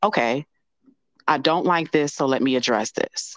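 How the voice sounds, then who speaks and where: A woman with an American accent speaks in a very deep, low pitch over a quiet background. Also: dry, close sound with no echo. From US Midwest (Chicago). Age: 40s. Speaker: life coach. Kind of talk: casual interview chat.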